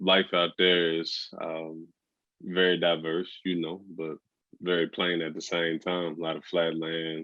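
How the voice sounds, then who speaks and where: A man with a very deep, low pitch talks in a monotone, flat intonation. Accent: Southern US. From West Texas (Amarillo). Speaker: entrepreneur, brand founder, podcast guest. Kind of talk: casual interview.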